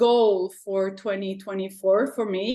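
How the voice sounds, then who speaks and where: A woman with a French-Canadian accent speaks at medium pitch. Her intonation stays fairly even over a quiet background. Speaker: art teacher. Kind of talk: casual chat.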